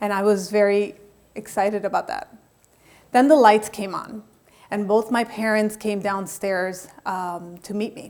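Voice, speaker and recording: With an American accent, a woman in an ordinary speaking voice talks at a fairly slow pace in a medium pitch, her intonation fairly even but her loudness swinging widely. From Colombia, raised in the US from age five (Miami). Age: 40s. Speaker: motivational speaker and life coach. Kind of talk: TEDx talk, personal testimony.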